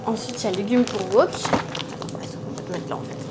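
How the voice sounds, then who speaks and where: Audible room echo and noticeable background noise surround a woman talking at a moderate pace. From France. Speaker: YouTuber. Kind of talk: casual vlog. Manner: animated.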